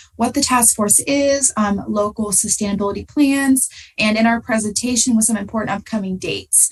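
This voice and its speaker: A woman speaks with ordinary pitch variation at a moderate pace. There is noticeable background noise. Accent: American. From US Midwest, southern Ohio. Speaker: graduate student. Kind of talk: presentation. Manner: halting.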